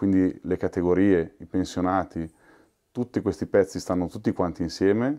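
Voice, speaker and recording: Against a quiet background, a man with a fairly low pitch and a dark, mellow tone talks at a fairly quick pace with ordinary pitch variation. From northern Italy (Milan). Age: 40s. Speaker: trade union workplace representative. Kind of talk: interview testimony.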